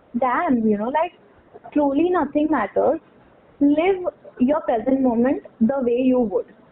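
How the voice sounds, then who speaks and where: Lively intonation at a fairly slow pace, broken by long, frequent pauses, over noticeable background noise. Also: woman. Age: 20s. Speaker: podcast guest. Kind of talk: casual chat.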